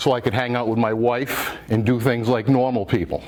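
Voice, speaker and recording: Over noticeable background noise, a man with a Rhode Island accent speaks at a moderate pace, with a medium pitch and fairly even intonation. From Rhode Island, Warwick. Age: 60s. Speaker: quahogger (shellfish digger). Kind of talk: public talk. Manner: halting.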